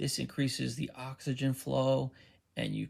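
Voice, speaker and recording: A soft-spoken man talks at a moderate pace. The recording is very clean with a silent background. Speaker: author promoting books. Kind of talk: sales pitch. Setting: social media video.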